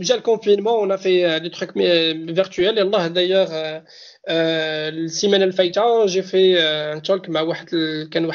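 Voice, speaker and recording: A man's high-pitched voice at a moderate pace. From Morocco, Souk El Arbaa. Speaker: data protection manager. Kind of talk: casual interview.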